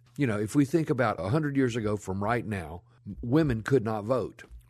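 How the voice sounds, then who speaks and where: Against a quiet background, a man talks in a Memphis accent. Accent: Southern US (Memphis). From US South. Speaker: historian, author and filmmaker. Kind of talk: interview conversation, storytelling. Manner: talkative.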